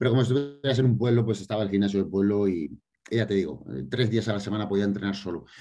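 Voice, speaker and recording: A man's dark, mellow tone at a very fast pace over a quiet background. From Spain, Extremadura. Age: 30s. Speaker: bodybuilder; interviewee. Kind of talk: interview. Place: home room. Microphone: video call.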